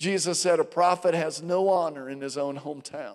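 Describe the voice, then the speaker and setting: An unremarkable speaking voice from a man, fairly high in pitch. Pitch variation is ordinary, on a very clean recording with a silent background. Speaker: pastor. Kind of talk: sermon introduction and closing blessing. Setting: church.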